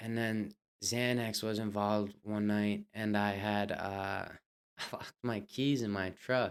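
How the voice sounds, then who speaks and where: A man speaks at a medium pitch, very slowly and in a flat monotone. The recording is very clean, with a silent background. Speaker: amateur fighter. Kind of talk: podcast interview answer. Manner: soft-spoken.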